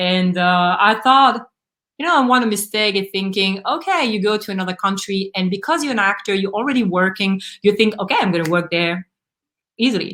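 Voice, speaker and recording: Speaking at a fairly quick pace with a French accent, a woman uses a medium pitch, ordinary pitch variation and a bright, sharp tone on a very clean recording with a silent background. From Belgium. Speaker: actor and acting coach. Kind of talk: live panel discussion.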